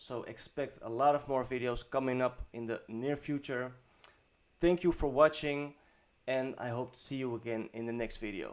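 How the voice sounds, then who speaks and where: Speaking with a non-native accent, a man keeps a medium pitch, fairly even intonation, and a moderate pace. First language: not English. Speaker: web design tutorial creator. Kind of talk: tutorial. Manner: hesitant, many fillers; unscripted, off the top of head.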